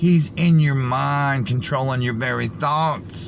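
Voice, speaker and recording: A man's fairly high voice, very slow pace and ordinary pitch variation, with audible room echo. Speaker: conspiracy video commentator. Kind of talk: reaction commentary.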